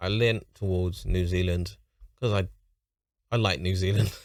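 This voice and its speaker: In a London accent, a man talks at a moderate pace with a very deep, low pitch and fairly even intonation. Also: very clean recording, silent background. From London, England. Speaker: YouTube reactor. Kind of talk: reaction commentary.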